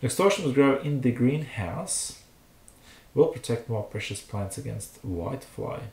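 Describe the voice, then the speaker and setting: A man is speaking. He has a non-native accent. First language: not English. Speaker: home gardener, channel owner. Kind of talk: reading aloud with commentary. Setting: live stream. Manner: hesitant, with fillers.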